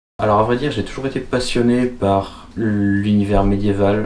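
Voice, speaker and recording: A man's fairly low voice at a fairly slow pace, with fairly even intonation and audible room echo. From France, Vienne area (Poitou). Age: 20s. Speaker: archer and student. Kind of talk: self-interview answering written questions. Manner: hesitant, with fillers and repetitions.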